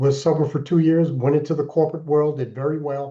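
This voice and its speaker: A man with an American accent talks in a monotone, flat way. His tone is dark and mellow, and his pitch is fairly high. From Alaska, US. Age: 60s. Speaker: keynote speaker and author in recovery. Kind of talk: interview testimony.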